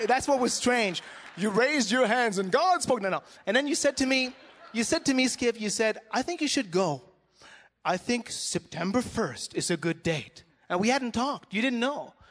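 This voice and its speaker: A man with a French-Canadian accent speaks at a moderate pace in an extremely high pitch, his intonation lively. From Montreal, Canada. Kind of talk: casual chat.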